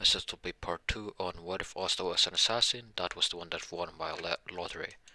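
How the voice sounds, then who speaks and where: Speaking at a fairly quick pace, a man with a very deep, low pitch and a bright, sharp tone keeps his intonation fairly even, in a dry, close sound with no echo. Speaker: YouTuber doing fan-fiction what-if stories. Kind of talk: casual vlog-style intro. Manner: low-energy, sounds uninterested; halting, many false starts.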